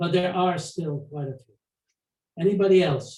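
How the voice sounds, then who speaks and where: The voice has a dark, mellow tone and is somewhat breathy. Intonation is fairly even. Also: man. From Poland (today western Ukraine). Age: 80s+. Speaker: Holocaust survivor. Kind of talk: testimony and Q&A. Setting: video call. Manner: halting.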